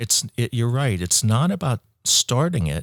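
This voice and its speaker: Dry and close with no echo, in a very clean recording with a silent background, a man with an American accent, medium pitch and an ordinary speaking voice speaks at a moderate pace. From US Midwest, Ohio. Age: 60s. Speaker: entrepreneur, company founder. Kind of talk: interview conversation.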